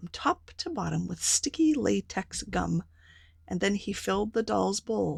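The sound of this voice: The reading voice here comes across as unforced.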